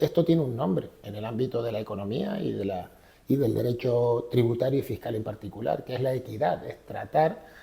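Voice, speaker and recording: This voice speaks at a fairly quick pace with a Canarian accent. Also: man. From Canary Islands. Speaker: government official and economist. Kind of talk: podcast interview. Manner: hesitant, with fillers.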